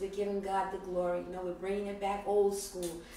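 A woman's voice amid audible room echo and light background noise. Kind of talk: church announcement and teaching. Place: home room. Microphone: camera far.

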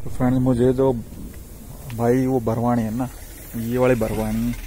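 Faint background noise sits behind a man with a dark, mellow tone at a medium pitch. He keeps a moderate pace with little pitch movement.

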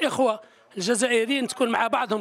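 Pitched extremely high, a man talks at a fairly quick pace. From Algeria, Tizi Ouzou; Algeria. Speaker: army veteran, former amateur footballer. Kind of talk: interview. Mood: warm, grateful. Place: stadium. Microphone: handheld.

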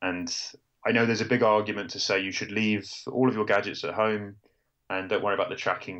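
Fairly low in pitch, a man with a British accent talks at a fairly quick pace in a monotone, flat intonation. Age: 30s. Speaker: journalist and amateur ultrarunner. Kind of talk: interview.

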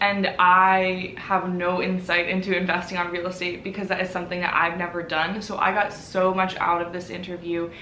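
A woman at a moderate pace, monotone and flat, with hardly any pauses, audible room echo and light background noise. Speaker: channel host. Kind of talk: casual vlog intro. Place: home room. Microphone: camera far.

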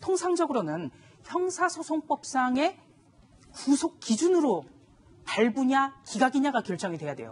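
Pausing long and often, a woman talks at a fairly slow pace, her high pitch swinging very widely. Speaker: journalist, news panelist. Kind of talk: TV news panel discussion. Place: studio. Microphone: lapel.

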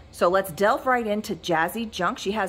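Moderate pace and ordinary pitch variation from a woman speaker. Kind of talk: live-sale shop tour commentary. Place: shop. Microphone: phone near.

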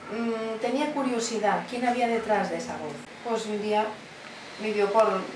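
With light background noise and audible room echo, a woman speaks at a moderate pace in a fairly high pitch. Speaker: voice actress. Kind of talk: interview answer. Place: home room. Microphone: camera far.

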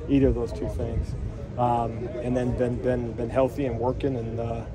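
Over loud background noise, a man talks with a dry sound that has no echo. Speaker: football coach. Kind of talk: interview answer. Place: street.

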